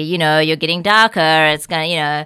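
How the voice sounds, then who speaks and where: In a very clean recording with a silent background, a bright, sharp tone moves at a very fast pace with ordinary pitch variation. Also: woman. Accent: New Zealand. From New Zealand. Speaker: podcast guest. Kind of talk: casual chat.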